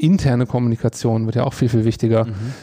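The speaker is a man with a medium pitch. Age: 30s. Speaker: advertising agency executive. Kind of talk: interview. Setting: agency meeting room. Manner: hesitant, many fillers.

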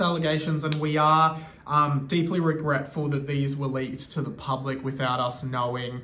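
A man with an Australian accent speaks at a moderate pace with hardly any pauses, his voice fairly high-pitched with ordinary pitch variation. The room echoes audibly, and background noise is noticeable. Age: 20s. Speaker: radio presenter. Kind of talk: casual chat; mock apology statement.

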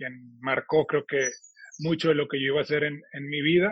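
A man's fairly high voice stays monotone and flat at a moderate pace. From Monterrey, northern Mexico. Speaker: supermarket chain executive, meat industry expert. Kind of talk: interview.

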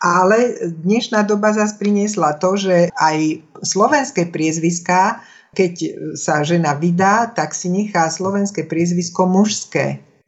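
A woman's normal speaking voice at a fairly slow pace. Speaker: speech coach and former radio announcer. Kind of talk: interview. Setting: phone call.

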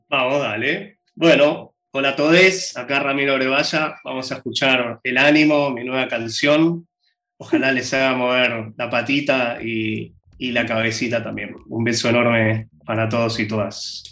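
A man talks at a fairly slow pace, his pitch medium. His is an ordinary speaking voice with ordinary pitch variation. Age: 40s. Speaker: singer-songwriter. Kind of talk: casual interview. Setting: video call.

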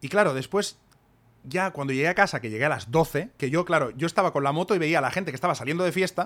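A man speaks very fast at a fairly high pitch, with ordinary pitch variation. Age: 40s. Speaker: podcast co-host and author. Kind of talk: casual chat.

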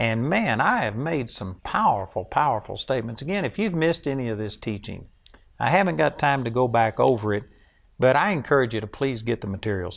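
A man with a Texan accent, fairly quick and lively in intonation, on a very clean recording with a silent background. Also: medium pitch for a man. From Texas. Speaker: preacher. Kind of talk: sermon.

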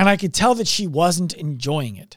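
This man talks at a fairly quick pace in a high-pitched voice. His intonation is lively and his tone animated. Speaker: podcast host. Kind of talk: motivational monologue. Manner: loud.

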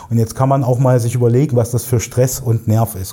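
Somewhat breathy with a dark, mellow tone, a man at medium pitch speaks at a fairly quick pace. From Thuringia, Erfurt (East Germany). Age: 40s. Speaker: digital agency owner, podcast co-host. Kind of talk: casual interview conversation.

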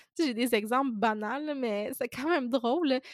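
A woman with a Quebec accent speaks at a high pitch and a moderate pace, with ordinary pitch variation. The recording is very clean with a silent background and a dry, close sound with no echo. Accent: Québécois French. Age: 20s. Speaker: podcast host, self-employed food content creator. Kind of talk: casual solo podcast monologue.

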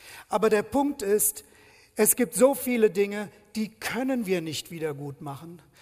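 In a high pitch, a man talks at a fairly slow pace with an animated tone, lively intonation, and big swings in loudness. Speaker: preacher. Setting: church.

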